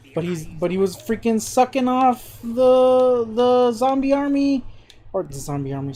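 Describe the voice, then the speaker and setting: A high-pitched woman's put-on character voice, mumbling at a moderate pace. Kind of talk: casual.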